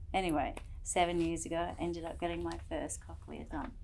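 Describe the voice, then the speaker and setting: There is audible room echo as a woman speaks with an Australian accent. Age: 40s. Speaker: cochlear implant recipient. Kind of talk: testimony.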